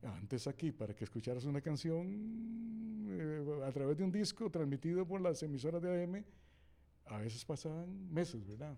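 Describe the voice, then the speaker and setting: Delivered at a moderate pace in a dark, mellow tone, the voice has lively intonation and long, frequent pauses. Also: man, fairly high pitch for a man. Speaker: veteran radio announcer. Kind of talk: interview answer, recalling anecdotes.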